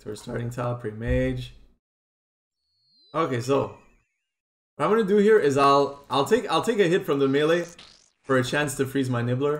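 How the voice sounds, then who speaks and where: A man in a Quebec accent speaks with lively intonation, big swings in loudness, and long, frequent pauses. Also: fairly high pitch for a man. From Quebec, Montreal. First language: French. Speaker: gaming streamer. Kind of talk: tutorial. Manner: casual, fast gameplay commentary.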